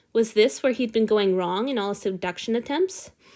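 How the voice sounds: This is a natural reading voice. Someone reads aloud.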